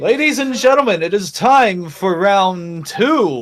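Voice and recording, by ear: A man puts on a character voice, pitched high and raised to project. He talks at a fairly slow pace.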